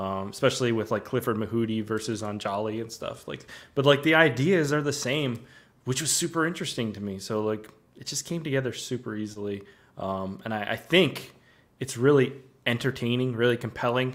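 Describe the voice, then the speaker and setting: A man with an unremarkable speaking voice, medium pitch and ordinary pitch variation, fairly quick pace and big swings in loudness. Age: 30s. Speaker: documentary filmmaker. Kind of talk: interview conversation. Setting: remote video call.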